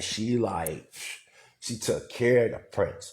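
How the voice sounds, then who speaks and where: Somewhat breathy, a man is speaking. His pace is fairly slow. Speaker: livestreamer / community leader. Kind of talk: casual livestream talk.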